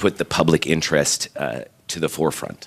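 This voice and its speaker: A man speaks in a very deep, low voice marked by vocal fry. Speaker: reporter at a press conference. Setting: press conference.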